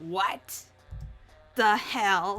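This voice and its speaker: A gravelly, female-sounding put-on character voice at medium pitch, with music in the background. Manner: manic, furious.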